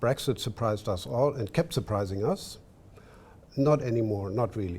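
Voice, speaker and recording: Speaking at a moderate pace with a German accent, the man has a medium pitch, ordinary pitch variation and a somewhat breathy quality. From Germany. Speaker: diplomat. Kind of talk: panel discussion. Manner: halting.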